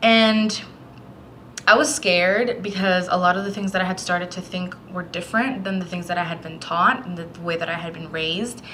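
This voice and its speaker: Amid noticeable background noise and audible room echo, a woman talks at a fairly quick pace with ordinary pitch variation and big swings in loudness. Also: medium pitch for a woman. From Puerto Rico, moved to Florida as a child. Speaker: book vlogger. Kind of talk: casual vlog talk.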